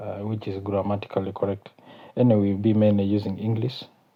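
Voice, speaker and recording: A man with a South Sudanese accent speaks at a moderate pace in a fairly low, flat, monotone voice. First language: Kakwa. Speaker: YouTube channel host. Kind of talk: casual vlog talk. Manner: halting, many fillers.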